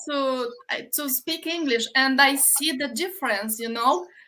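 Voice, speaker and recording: In a Romanian accent, a woman projects a raised, high-pitched voice with a bright, sharp tone and ordinary pitch variation, captured in a very clean recording with a silent background. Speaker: livestream host, online business owner. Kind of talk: casual interview on a livestream. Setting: live video stream. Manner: halting.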